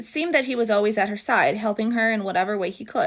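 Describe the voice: What you hear is plain reading aloud.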